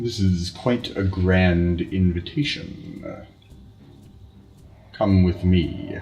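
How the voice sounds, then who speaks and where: A man puts on a character voice with a very deep, low pitch. He speaks very slowly, leaving long, frequent pauses. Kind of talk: solemn stately speech. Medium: actual play. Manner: formal, imperious.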